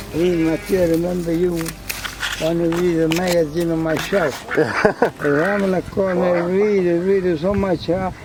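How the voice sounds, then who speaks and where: A man talks at a fairly slow pace with hardly any pauses, his high pitch held in a flat monotone. Noticeable background noise runs behind him. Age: 80s+. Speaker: farmer and retired barber. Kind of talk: casual conversation. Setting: outdoors.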